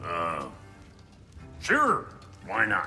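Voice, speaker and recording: A man in a put-on character voice, with clear music in the background. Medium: machinima. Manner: crude, sarcastic.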